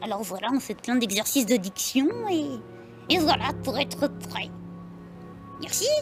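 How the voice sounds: Using a put-on character voice, a woman speaks at a fairly high pitch and a moderate pace while clear music plays in the background.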